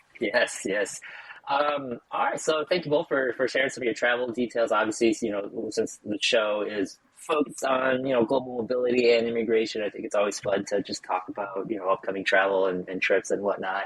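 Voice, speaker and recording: A man's medium-pitched voice is heard with noticeable background noise around it. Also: ordinary pitch variation, fairly quick pace, hardly any pauses. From United States. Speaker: podcast co-host. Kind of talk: casual chat.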